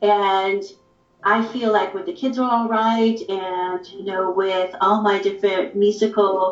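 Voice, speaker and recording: In an American accent, a woman talks at a fairly slow pace and medium pitch, her intonation monotone and flat. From San Francisco Peninsula, California. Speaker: saxophonist. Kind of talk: casual interview on a livestream.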